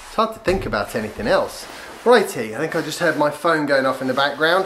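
A man talks at a fairly quick pace. There is light background noise. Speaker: vlogger reviewing a skateboard. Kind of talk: casual vlog chat. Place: home room. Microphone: camera far.

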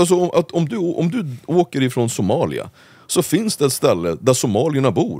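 Using vocal fry and very wide pitch swings, a man speaks at a fairly slow pace in a dry, close sound with no echo. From Sweden, Uppsala (Gottsunda). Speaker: political commentator. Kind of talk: casual interview.

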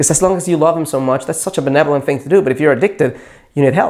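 The background stays quiet. A man talks with normal pitch movement. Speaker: dating coach. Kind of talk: advice talk to camera. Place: studio. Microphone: lapel.

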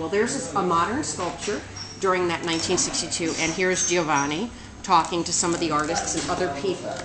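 A woman is speaking. Noticeable background noise runs underneath. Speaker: presenter. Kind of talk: casual educational vlog. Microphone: webcam.

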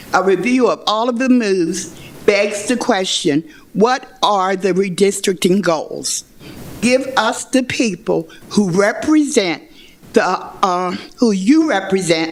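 Over noticeable background noise, a woman with a medium pitch speaks very slowly with lively intonation. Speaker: public commenter at a hearing. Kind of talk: public hearing testimony. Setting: public hearing room, speaking at a microphone.

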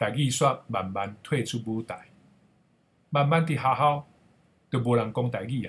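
A man speaks at a fairly slow pace, with long, frequent pauses. His voice is somewhat breathy, with ordinary pitch variation. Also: medium pitch for a man. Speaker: Taiwanese language educator. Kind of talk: personal storytelling.

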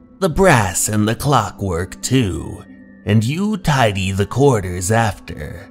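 Big pitch swings mark a put-on character voice delivered at a slow pace. Faint music plays in the background. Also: man, fairly low pitch for a man.

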